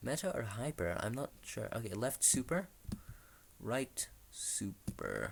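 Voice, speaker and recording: A man speaks quietly at a very slow pace. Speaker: tech youtuber. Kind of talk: screen-recorded tutorial with live commentary. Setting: at home, someone sleeping nearby. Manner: kept quiet, low volume; excited, animated at success.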